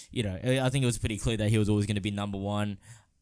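A man with an Australian accent speaks with a fairly low pitch and fairly even intonation. The recording is very clean, with a silent background. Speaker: sports podcaster. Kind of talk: casual solo commentary.

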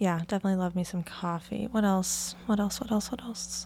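A woman's somewhat breathy voice sits at medium pitch, with a dark, mellow tone and fairly even intonation. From US Pacific Northwest (Oregon). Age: 20s. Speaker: podcast host. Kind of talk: casual solo monologue.

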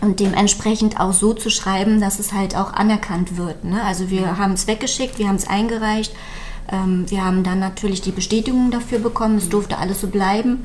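A woman's medium-pitched, fairly quick delivery in a monotone, flat intonation, over noticeable background noise. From Mecklenburg-Western Pomerania, Malchin. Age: 30s. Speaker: small business founder, caregiver. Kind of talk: interview.

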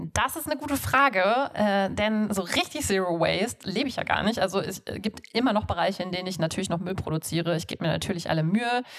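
Over noticeable background noise, a woman talks very fast at medium pitch. Her intonation is lively. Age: 30s. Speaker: podcast host, zero-waste enthusiast. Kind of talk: interview. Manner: hesitant with many fillers.

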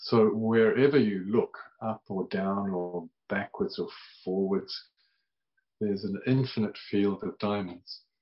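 A man with a fairly low pitch talks at a very slow pace, his intonation fairly even and broken by long, frequent pauses. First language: English (speaking Portuguese). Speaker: Buddhist meditation teacher. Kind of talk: dharma talk. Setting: video call. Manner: halting.

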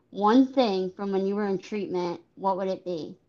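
This woman has an unremarkable speaking voice with a medium pitch. She talks at a fairly slow pace. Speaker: podcast host. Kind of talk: interview.

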